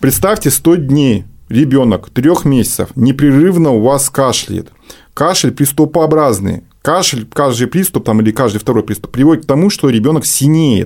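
A man with an ordinary speaking voice, fairly high pitch, lively intonation, very even loudness and a moderate pace. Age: 40s. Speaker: head of pediatric infectious disease ward. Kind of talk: radio interview. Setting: radio studio.

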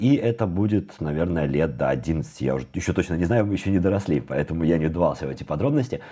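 A man talks at a very fast pace with hardly any pauses, his very deep, low voice dark and mellow with vocal fry. His intonation stays lively throughout. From Belarus. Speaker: programmer. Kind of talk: casual interview chat.

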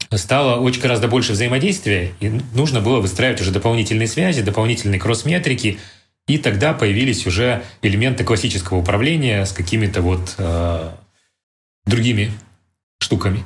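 Audible room echo surrounds a somewhat breathy man with a fairly low pitch and very even loudness. He speaks at a fairly quick pace broken by long, frequent pauses. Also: ordinary pitch variation. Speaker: company CEO. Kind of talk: interview.

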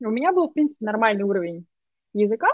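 A woman with a fairly high voice lets her pitch swing very widely. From Russia, Moscow. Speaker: digital marketer. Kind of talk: casual conversation.

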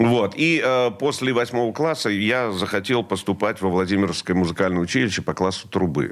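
A man with a normal speaking voice, fairly low pitch, lively intonation, and a fairly quick pace. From central Russia, Vladimir region. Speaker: rock musician and radio host. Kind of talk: interview.

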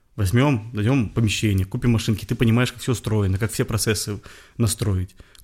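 Somewhat breathy, a man speaks at a fairly quick pace with fairly even intonation on a very clean recording with a silent background. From Belarus, Bobruisk. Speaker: clothing brand founder. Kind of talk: interview.

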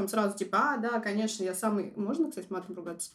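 Noticeable background noise sits under a woman talking very fast at a medium pitch. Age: 20s. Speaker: designer sharing personal story. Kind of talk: personal testimony, casual.

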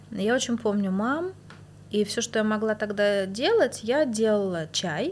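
With an unremarkable speaking voice, a woman talks at a fairly slow pace. Her pitch is fairly high, with ordinary variation. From Moscow, Russia. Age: 40s. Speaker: bathhouse practitioner and healer. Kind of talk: casual interview.

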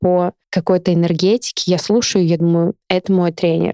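A woman of medium pitch speaks at a moderate pace in a dark, mellow tone, the sound dry and close with no echo. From Siberia, Novosibirsk (Akademgorodok). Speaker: amateur runner. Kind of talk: casual chat.

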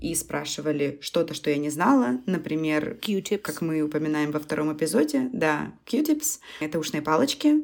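At a moderate pace, a woman uses a plain, everyday voice with a fairly low pitch and lively intonation. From Russia. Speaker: podcast co-host. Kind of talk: casual chat.

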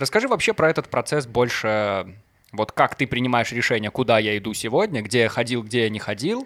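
In a dry, close sound with no echo, a man with a medium pitch and ordinary pitch variation speaks in a plain, everyday voice. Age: 20s. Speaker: podcast host. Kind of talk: casual chat; news reading.

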